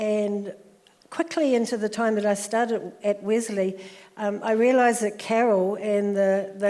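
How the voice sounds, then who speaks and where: A woman talks with fairly even intonation at a medium pitch. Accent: New Zealand. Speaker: social worker. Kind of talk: interview.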